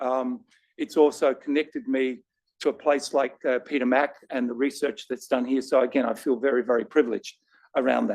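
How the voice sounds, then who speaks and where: With an Australian accent, a man talks at a fairly quick pace in a fairly high voice with ordinary pitch variation. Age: 60s. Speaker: patient advocate with lived cancer experience. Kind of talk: panel discussion.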